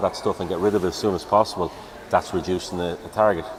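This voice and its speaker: A man with a Dublin accent, monotone and flat, over noticeable background noise. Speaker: police officer. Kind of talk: live event interview. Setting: outdoor show tent.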